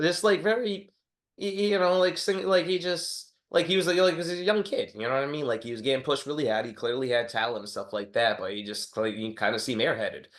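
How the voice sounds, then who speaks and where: A high-pitched man with an American accent, very fast, with very wide pitch swings, against a quiet background. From Massachusetts, New Bedford. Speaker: boxing podcast host. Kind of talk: casual chat.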